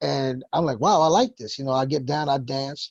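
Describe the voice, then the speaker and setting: With a New York accent, a man speaks in a fairly high pitch, somewhat breathy, in a dry, close sound with no echo. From New York, the Bronx. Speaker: hip hop producer. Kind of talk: interview.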